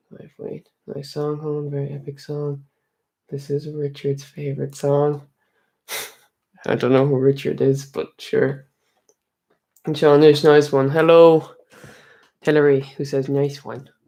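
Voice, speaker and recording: A man's fairly slow, dark, mellow voice in an Irish accent, fairly high in pitch and monotone, with big swings in loudness and long, frequent pauses. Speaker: Irish music streamer. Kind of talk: live stream chat reading comments. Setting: home live stream. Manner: soft-spoken.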